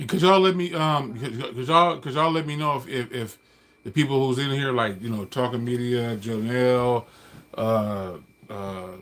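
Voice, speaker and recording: A man with an American accent talks at a medium pitch with lively intonation. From California. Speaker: livestreamer. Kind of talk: casual livestream monologue. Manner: fast; halting, repetitive false starts.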